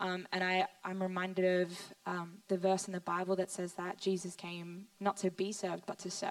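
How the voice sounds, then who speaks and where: Over noticeable background noise, a woman with an Australian accent talks at a moderate pace and a medium pitch. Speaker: young mother, pastor's daughter-in-law. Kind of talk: panel testimony in church service.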